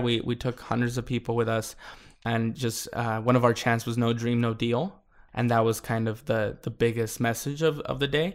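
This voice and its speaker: A man speaks at a moderate pace with an American accent and a medium pitch. It's an ordinary speaking voice, on a very clean recording with a silent background. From California, US. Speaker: school board member and immigrant rights activist. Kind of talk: interview.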